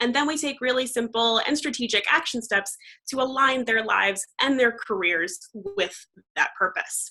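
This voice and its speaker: Speaking with an American accent, a woman uses lively intonation in a high-pitched voice with a bright, sharp tone. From US Northeast, Long Island, New York. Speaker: life coach, entrepreneur. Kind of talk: panel conversation.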